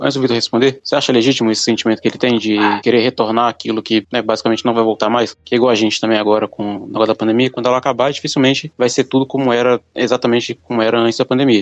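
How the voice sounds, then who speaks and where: Speech comes at a very fast pace in a flat monotone with hardly any pauses, the sound dry and close with no echo. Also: man, medium pitch for a man. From small Brazilian town. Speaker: podcast co-host. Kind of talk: casual chat.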